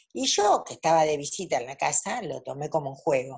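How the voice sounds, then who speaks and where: Somewhat breathy and very deep in pitch, a woman speaks at a moderate pace. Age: 60s. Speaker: tarot reader. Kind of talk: casual interview. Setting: video call. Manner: halting.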